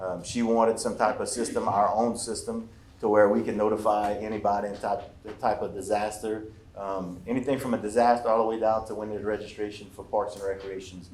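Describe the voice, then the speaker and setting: A man's fairly low voice in a monotone, flat intonation, with audible room echo. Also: fairly quick pace. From Louisiana Cajun country. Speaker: emergency management official. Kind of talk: public presentation. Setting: workshop with audience. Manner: fast.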